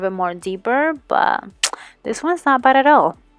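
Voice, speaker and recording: A woman speaks in a normal speaking voice at a moderate pace, her intonation lively. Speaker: beauty vlogger. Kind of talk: makeup tutorial.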